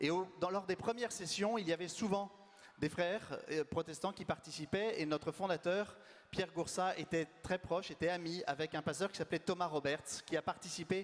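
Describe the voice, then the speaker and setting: A loud man's voice, high in pitch, fairly even in intonation, at a moderate pace. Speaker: community leader hosting event. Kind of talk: event introduction.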